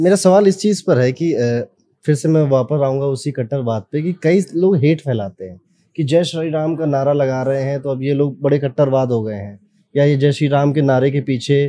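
A man speaks at fairly high pitch with a dark, mellow tone. His pace is moderate and his pitch varies in an ordinary way. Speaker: podcast host, astrologer. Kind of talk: interview.

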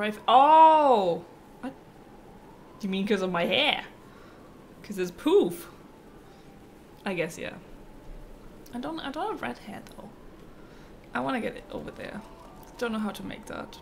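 A woman with a German accent speaks at a fairly slow pace and fairly high pitch, over light background noise. Her delivery has very wide pitch swings, big swings in loudness, and long, frequent pauses. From North Germany. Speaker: streamer. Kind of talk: live gameplay commentary. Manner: casual, chatty. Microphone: studio mic.

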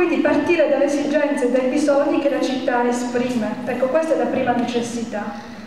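A woman's high-pitched voice with fairly even intonation and hardly any pauses, amid light background noise and strong room echo. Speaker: citizen movement organizer. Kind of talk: public speech. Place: hall.

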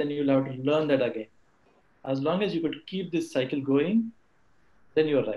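Ordinary pitch variation and moderate pacing in a male voice. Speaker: colleague of speaker, answering audience questions; speaker. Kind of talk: talk / webinar presentation. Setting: video call webinar. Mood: motivational, earnest. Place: home room. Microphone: video call.

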